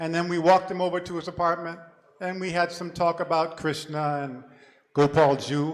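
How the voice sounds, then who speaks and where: A man's high voice, its pitch varying in an ordinary way. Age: 70s. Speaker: senior monk giving a remembrance talk. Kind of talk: memorial talk.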